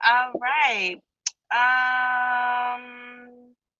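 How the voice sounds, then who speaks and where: A woman talks in a high pitch with fairly even intonation. The sound is dry and close, with no echo. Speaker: live-stream show host. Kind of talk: casual live-stream interview. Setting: live stream on a social app.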